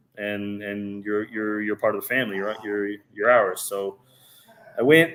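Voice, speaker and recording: A man with a plain, everyday voice and an American accent speaks in a fairly low pitch with ordinary pitch variation and big swings in loudness. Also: moderate pace. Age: 30s. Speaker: professional soccer goalkeeper. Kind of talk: casual interview.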